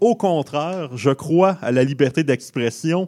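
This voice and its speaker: A man with an unremarkable speaking voice talks at a fairly high pitch with lively intonation. The recording is very clean, with a silent background. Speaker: guest comedian panelist. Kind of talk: comedic radio segment.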